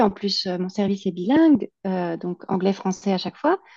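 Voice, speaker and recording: Over a quiet background, a woman speaks at medium pitch with a dark, mellow tone. Her intonation is lively, her pace fairly slow, and the sound dry and close with no echo. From France, Alsace. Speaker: immigration consultant, entrepreneur. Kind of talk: interview. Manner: hesitant, many fillers.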